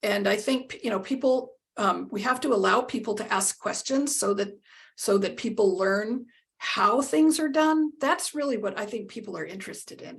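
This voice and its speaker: Somewhat breathy, a woman with a fairly high pitch talks with lively intonation. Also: moderate pace, big swings in loudness. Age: 60s. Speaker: accessibility lead at a travel company, blind. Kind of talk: interview. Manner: halting, many fillers and repeats.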